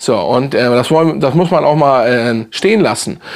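A man's moderately paced talk, with ordinary pitch variation, comes over a quiet background. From Hamburg, northern Germany; Germany. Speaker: fragrance YouTuber. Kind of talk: casual product review video. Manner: casual, halting with many fillers. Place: home room.

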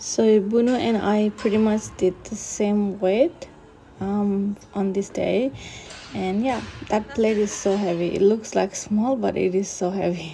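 Over light background noise, a woman speaks at a fairly slow pace with ordinary pitch variation. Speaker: fitness vlogger. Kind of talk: casual vlog narration.

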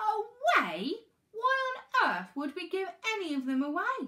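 Using a put-on character voice, a woman speaks at a fairly slow pace in an extremely high pitch, her bright, sharp tone marked by very wide pitch swings.

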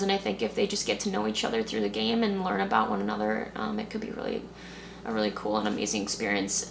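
With noticeable background noise, a woman with an American accent talks at a very fast pace. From US suburbs. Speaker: youth soccer coach. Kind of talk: interview. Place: home room.

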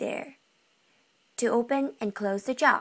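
A woman with a non-native accent speaks high in pitch with ordinary pitch variation and a playful, upbeat tone against a quiet background. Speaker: anatomy and physiology student. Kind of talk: educational class presentation. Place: home room. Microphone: webcam.

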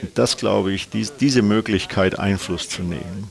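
A man's very deep, low voice. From Bayreuth, Upper Franconia, Bavaria; Bavaria. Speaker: airline captain. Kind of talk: interview. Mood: relaxed, reminiscing, amused. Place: studio. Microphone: lapel.

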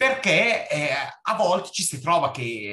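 The speaker is a man. His pitch moves through very wide swings. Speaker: doctor. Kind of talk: audience question.

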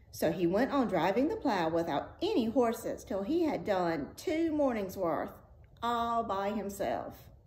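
A woman speaks at a fairly slow pace and a fairly high pitch, her voice somewhat breathy. Her pitch swings very widely. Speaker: storyteller reading aloud. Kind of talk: fairy-tale audiobook reading, cozy read-aloud storytelling. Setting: video read-aloud. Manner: soothing and friendly.

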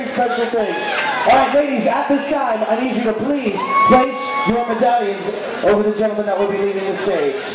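Loud background noise and audible room echo fill the recording. The pace is moderate. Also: man. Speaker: cruise ship emcee. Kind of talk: game show host, emceeing a live contest with crowd banter. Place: stage.

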